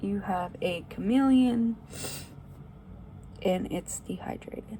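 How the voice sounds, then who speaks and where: Speaking very slowly, a woman gets her words out. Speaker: pet video creator. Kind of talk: personal update vlog. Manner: quiet; halting.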